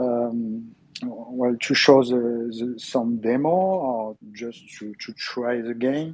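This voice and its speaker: A French accent at a very slow pace, with ordinary pitch variation, big swings in loudness and noticeable background noise. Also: man, medium pitch for a man. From France. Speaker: gaming channel host. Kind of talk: interview. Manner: halting, many fillers.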